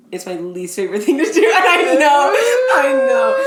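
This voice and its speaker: Audible room echo surrounds a woman's speech. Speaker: podcast co-host. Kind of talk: casual chat. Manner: loud at times.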